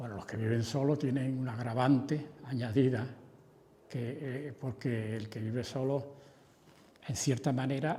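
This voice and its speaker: A man speaks at a medium pitch in a dark, mellow, somewhat breathy tone with fairly even intonation. His pace is fairly slow, with long, frequent pauses and audible room echo. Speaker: doctor speaking on elderly care. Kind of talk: panel discussion.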